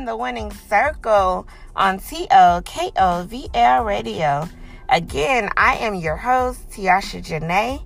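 Over music in the background, a woman talks very slowly with very wide pitch swings. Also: medium pitch for a woman. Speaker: radio host. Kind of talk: pep talk. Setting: radio show. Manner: animated, punchy, motivational; emphatic, preacher-like cadence.

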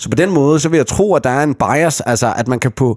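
A man with a normal speaking voice uses lively intonation at a moderate pace. The sound is dry and close with no echo. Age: 30s. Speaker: podcast host. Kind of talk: casual chat.

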